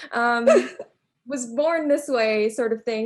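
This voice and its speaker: A woman with an American accent speaks in an ordinary speaking voice at a fairly high pitch and moderate pace. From US, Long Island, New York. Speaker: academic panelist, language educator. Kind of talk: panel discussion.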